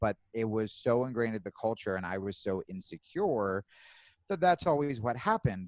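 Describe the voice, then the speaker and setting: A man with an unremarkable speaking voice talks at medium pitch and moderate pace, with lively intonation. The sound is dry and close with no echo, in a very clean recording with a silent background. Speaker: comedian. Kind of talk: interview answer. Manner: casual.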